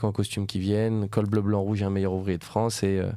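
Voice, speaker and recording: Fairly low in pitch, a man speaks in a dark, mellow tone with monotone, flat intonation. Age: 20s. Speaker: restaurant entrepreneur. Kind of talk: podcast interview.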